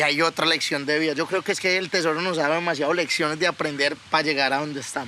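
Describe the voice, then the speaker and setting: A man with a fairly high pitch talks at a fairly quick pace over noticeable background noise. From Colombia (Yopal, then Bogotá). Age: 20s. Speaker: cattle breeder and podcast co-host. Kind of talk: casual chat. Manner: animated.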